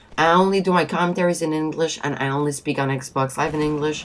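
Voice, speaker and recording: In a Quebec accent, a woman speaks with a very deep, low pitch and ordinary pitch variation. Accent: Québécois French accent in English. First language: French. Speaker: gaming video commentator. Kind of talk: casual commentary monologue. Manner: stuttering.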